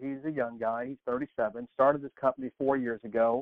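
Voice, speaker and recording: At a fairly quick pace, a man talks at a medium pitch with fairly even intonation, a plain, everyday voice. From Texas. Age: 50s. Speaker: personal transformation coach. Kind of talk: interview conversation.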